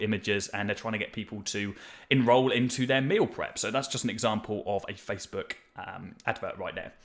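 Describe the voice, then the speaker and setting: A man's energetic, medium-pitched voice in a British accent, at a fairly quick pace. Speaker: marketing agency owner teaching ads. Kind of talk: tutorial. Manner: fast.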